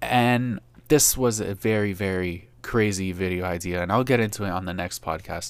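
A man's fairly low voice at a moderate pace. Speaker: YouTube creator podcaster. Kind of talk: solo podcast update. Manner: worries he sounds monotone.

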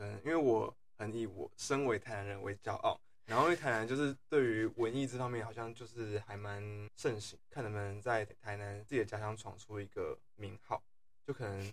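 Moderate pace and fairly even intonation in a somewhat breathy voice. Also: man, medium pitch for a man. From Taiwan, Tainan. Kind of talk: casual chat.

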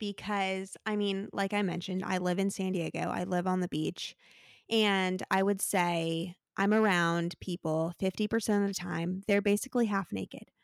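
An unremarkable speaking voice from a woman with an American accent, medium pitch and moderate pace, dry and close with no echo on a very clean recording with a silent background. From Arizona. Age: 20s. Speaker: podcast host, recent graduate. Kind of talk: casual chat.

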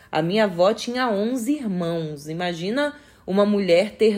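A woman at a fairly high pitch, with lively intonation and a fairly slow pace. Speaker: podcaster. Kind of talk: casual chat. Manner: projected, firm tone; not loud.

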